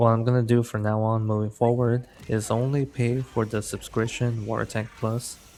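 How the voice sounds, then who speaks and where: At a moderate pace, a man speaks in a medium-pitched voice with monotone, flat intonation. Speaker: gaming YouTuber. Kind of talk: casual vlog monologue. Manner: halting with stammered restarts.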